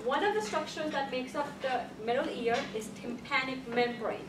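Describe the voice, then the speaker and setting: A woman with a high pitch speaks with lively intonation. Audible room echo and noticeable background noise surround her. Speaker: college lecturer. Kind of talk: lecture. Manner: fast; repetitive, frequent 'okay?' checks.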